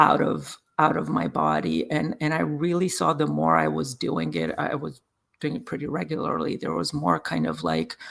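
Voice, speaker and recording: A man with a Serbian accent at a moderate pace. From Serbia, Belgrade. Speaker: Reiki and sound healing practitioner. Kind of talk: interview. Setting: podcast. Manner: halting.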